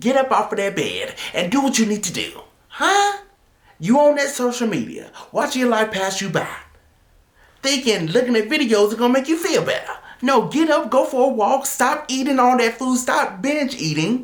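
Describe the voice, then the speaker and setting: A man's loud shouting at an extremely high pitch, animated in tone with lively intonation. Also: moderate pace. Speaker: motivational video host. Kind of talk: motivational talk to camera. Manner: loud, yelling.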